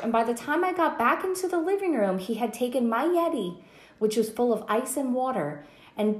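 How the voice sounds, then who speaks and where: Audible room echo surrounds a woman whose fairly high pitch moves in very wide swings. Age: 30s. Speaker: podcast host. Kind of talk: casual chat.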